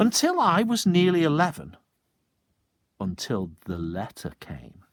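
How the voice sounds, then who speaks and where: A man talks at a very slow pace, his pitch swinging very widely. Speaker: teacher. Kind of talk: children's story reading.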